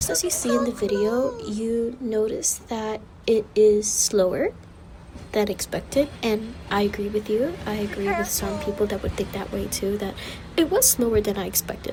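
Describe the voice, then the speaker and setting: Quietly and at a moderate pace, a woman speaks at a fairly high pitch over noticeable background noise. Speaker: travel vlogger. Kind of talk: vlog voiceover commentary. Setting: university library reading pavilion. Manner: quieter; casual, filler-heavy.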